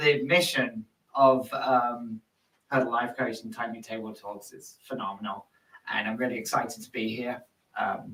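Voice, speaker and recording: A man with an English accent speaks at a medium pitch and moderate pace, his intonation fairly even. His tone is bright and sharp, and his loudness swings widely. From London, England. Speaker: nonprofit executive. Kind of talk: podcast interview. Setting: studio.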